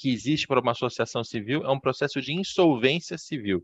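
This is a normal speaking voice at a fairly quick pace. Its pitch variation is ordinary. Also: man, dry, close sound with no echo. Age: 30s. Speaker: podcast host, sports business journalist. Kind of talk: interview.

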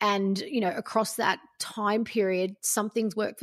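This woman speaks with an Australian accent. Her fairly high voice shows ordinary pitch variation. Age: 40s. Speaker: life coach. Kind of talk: casual interview chat.

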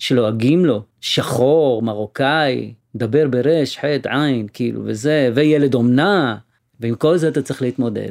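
At a fairly slow pace, a man talks in a plain, everyday voice with a fairly high pitch and ordinary pitch variation. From Sderot, Israel (Moroccan family). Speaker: musician. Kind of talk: interview storytelling.

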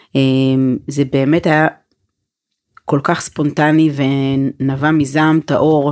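A woman speaks very slowly in a very deep, low voice. Her intonation is monotone and flat, and her loudness stays very even. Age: 40s. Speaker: women's organization founder and spokesperson. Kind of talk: casual chat.

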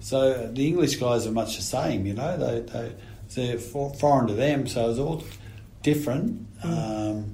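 Over noticeable background noise, a speaker with an Australian accent talks at a fairly slow pace with ordinary pitch variation. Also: man, medium pitch for a man. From Australia (New South Wales). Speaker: retired rugby player. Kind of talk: casual chat.

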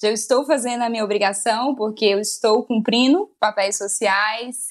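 A woman with an unremarkable speaking voice, fairly high in pitch with ordinary pitch variation, speaks at a moderate pace on a very clean recording with a silent background. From Brazil, Maranhão (Northeast). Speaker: journalist and writer. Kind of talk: casual interview.

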